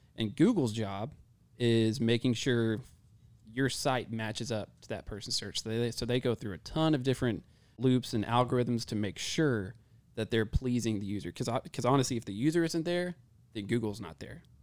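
On a very clean recording with a silent background, a man with an American accent and an unremarkable speaking voice talks at a moderate pace, at medium pitch, with ordinary pitch variation. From Texas, Mineral Wells. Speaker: digital marketing director. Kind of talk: casual chat. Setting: office.

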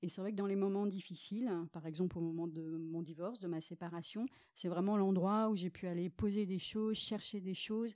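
Her tone dark and mellow, a woman talks at a moderate pace and medium pitch with fairly even intonation. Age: 40s. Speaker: shamanic therapist. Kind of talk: casual interview chat.

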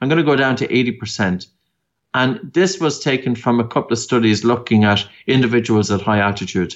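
Speaking with an Irish accent, a man talks at a moderate pace with ordinary pitch variation and very even loudness. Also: medium pitch for a man. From Ireland, County Meath. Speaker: breathing expert. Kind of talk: interview. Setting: remote call.

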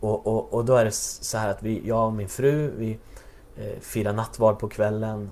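Fairly slow, monotone delivery against noticeable background noise. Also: man, medium pitch for a man. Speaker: church worker, pastor's son. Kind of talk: interview about faith and testimony.

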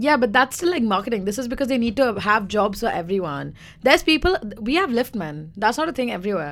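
In a very clean recording with a silent background, a woman speaks very fast at a fairly high pitch, with vocal fry and very wide pitch swings. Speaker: podcast co-host. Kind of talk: casual banter podcast chat.

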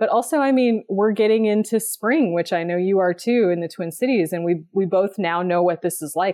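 A woman with an American accent speaks in an unremarkable speaking voice at medium pitch, moving at a moderate pace with ordinary pitch variation and hardly any pauses. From West Texas. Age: 30s. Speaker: writer and runner. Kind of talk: casual interview.

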